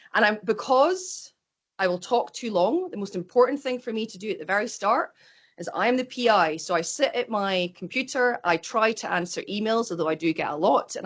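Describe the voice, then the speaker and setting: Speaking with a Scottish accent, a woman moves at a fairly quick pace. Her intonation is lively against a quiet background. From Scotland. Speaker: microbiology professor. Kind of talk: lecture. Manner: fast.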